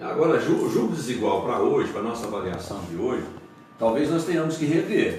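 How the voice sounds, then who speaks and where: A man speaks at a moderate pace with noticeable background noise. Room echo is audible. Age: 70s. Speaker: pastor. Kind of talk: radio interview. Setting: radio studio, broadcast live.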